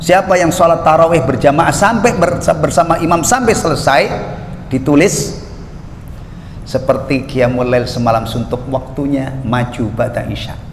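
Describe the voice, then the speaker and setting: Over noticeable background noise and audible room echo, a man speaks at a moderate pace. His fairly high pitch carries lively intonation. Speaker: Islamic preacher. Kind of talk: religious lecture. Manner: conversational, jokey asides.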